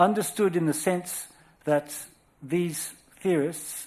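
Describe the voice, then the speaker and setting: The speaker is a man with an Australian accent. He keeps a moderate pace and fairly even intonation. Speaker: scholar lecturer. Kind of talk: lecture. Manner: formal.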